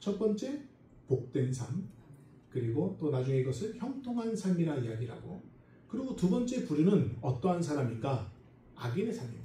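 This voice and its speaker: The man's voice is fairly high in pitch with a dark, mellow tone and very wide pitch swings. He keeps a moderate pace, and the room echo is audible. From South America (emigrated from Korea at six). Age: 40s. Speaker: pastor, Bible school lecturer. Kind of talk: sermon. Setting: church service. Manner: hesitant, many fillers.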